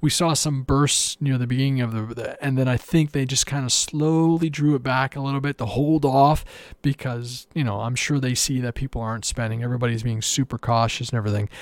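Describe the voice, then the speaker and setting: In a very clean recording with a silent background, a man with a Canadian accent and an ordinary speaking voice talks at a medium pitch and fairly quick pace, with fairly even intonation and hardly any pauses. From Canada. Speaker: RC aircraft hobbyist podcast host. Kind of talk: solo podcast monologue.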